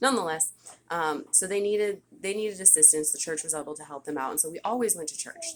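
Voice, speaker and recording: The speaker is a woman. Her intonation is lively. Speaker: vlogger sharing religious testimony. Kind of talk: testimony. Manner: fast.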